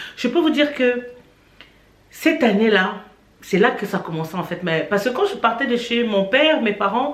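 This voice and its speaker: A woman talks with lively intonation over noticeable background noise, with audible room echo. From Cameroon. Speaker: YouTuber. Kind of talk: testimony.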